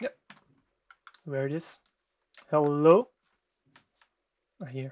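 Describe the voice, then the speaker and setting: Very slow speech with a German accent. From Germany. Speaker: music producer. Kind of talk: tutorial. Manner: halting.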